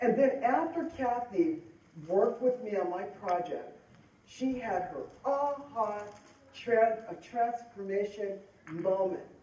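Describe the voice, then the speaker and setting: A woman with an American accent at a very slow pace, her pitch fairly high and her intonation lively, with audible room echo. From Denver, Colorado. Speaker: motivational speaker and author. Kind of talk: conference talk.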